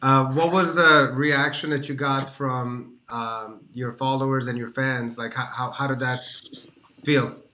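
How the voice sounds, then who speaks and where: A man with an American accent speaks at a medium pitch and a fairly slow pace, with audible room echo and noticeable background noise. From Washington DC area. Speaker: online show host. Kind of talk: casual interview chat. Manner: enthusiastic.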